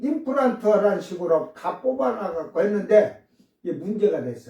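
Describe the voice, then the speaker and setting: A man's high pitch with lively intonation. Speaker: pastor. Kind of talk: sermon.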